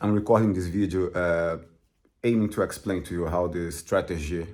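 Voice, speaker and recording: A man with a Portuguese accent speaks very deep and low at a moderate pace. His intonation stays fairly even on a very clean recording with a silent background. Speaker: crypto trader and author. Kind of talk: casual explanatory talk to camera. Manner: halting, many fillers.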